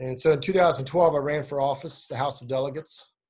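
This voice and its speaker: Somewhat breathy and fairly even in intonation, a man speaks with an American accent. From West Virginia, Eastern Panhandle. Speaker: political candidate. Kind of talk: interview. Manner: halting.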